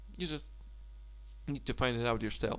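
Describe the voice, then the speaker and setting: A man speaks with a Polish accent. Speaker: language tutor. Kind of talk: tutorial. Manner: halting.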